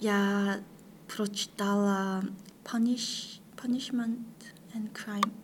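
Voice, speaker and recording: A woman with a Korean accent, medium pitch, fairly even intonation, a somewhat breathy quality and a very slow pace. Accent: Korean-accented Russian. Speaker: international master's student. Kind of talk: interview, casual chat. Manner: halting, hesitant with pauses.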